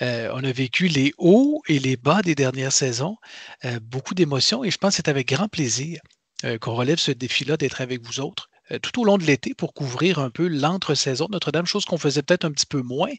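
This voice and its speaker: A man with a Quebec accent talks at a fairly quick pace, fairly high in pitch and somewhat breathy. The sound is dry and close with no echo, against a quiet background. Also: ordinary pitch variation. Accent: Québécois French. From Quebec, Canada. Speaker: podcast co-host. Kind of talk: casual chat.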